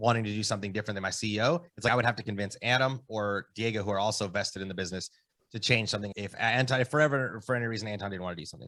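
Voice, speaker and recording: The speech comes at a very fast pace, loud and bright with a sharp tone, showing ordinary pitch variation. The recording is very clean, with a silent background. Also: man, fairly low pitch for a man. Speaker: real estate entrepreneur. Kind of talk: podcast interview. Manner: casual.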